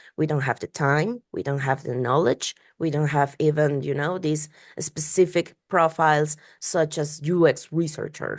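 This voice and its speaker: A woman's very deep, low voice with a non-native accent, fairly even intonation and a moderate pace against a quiet background. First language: Spanish. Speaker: UX researcher and podcast host. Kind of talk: interview conversation. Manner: halting, many repetitions and fillers.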